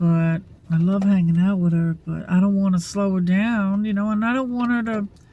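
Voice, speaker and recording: A woman's somewhat breathy, dark, mellow voice at medium pitch, with fairly even intonation and a moderate pace. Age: 60s. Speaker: vlogger. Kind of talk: casual vlog monologue. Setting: at rural camp, near a single-wide. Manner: halting, many fillers.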